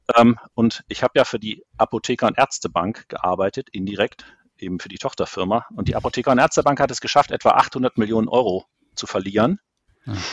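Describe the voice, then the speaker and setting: A man with a plain, everyday voice talks at a medium pitch and a fairly quick pace, showing ordinary pitch variation. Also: big swings in loudness, dry, close sound with no echo. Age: 40s. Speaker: IT process expert. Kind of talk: interview.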